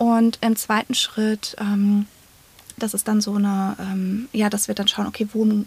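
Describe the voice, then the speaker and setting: At a fairly slow pace, a woman with a somewhat breathy voice speaks at fairly high pitch, with ordinary pitch variation. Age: 30s. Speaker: psychotherapy practitioner and coach. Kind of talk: interview.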